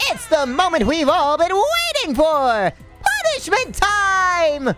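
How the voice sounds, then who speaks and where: A put-on character voice at an extremely high pitch and fairly slow pace, with clear background noise. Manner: gleeful, theatrical.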